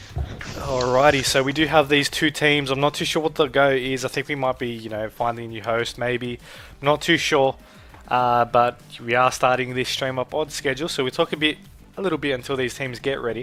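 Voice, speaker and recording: A man with an Australian accent at a medium pitch, fairly quick pace and fairly even intonation, with music in the background. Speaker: esports shoutcaster. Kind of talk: live esports shoutcast commentary.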